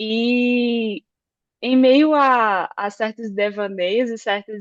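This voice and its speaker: Against a quiet background, someone with a northeastern Brazilian accent speaks at a very slow pace. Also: woman. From Northeast Brazil (Campina Grande, Paraíba). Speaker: electrical engineer. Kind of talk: podcast interview. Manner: hesitant, many fillers.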